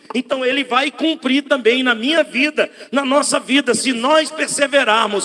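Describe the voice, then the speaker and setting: A man's extremely high-pitched, animated voice at a fairly slow pace. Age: 60s. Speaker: pastor. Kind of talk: sermon.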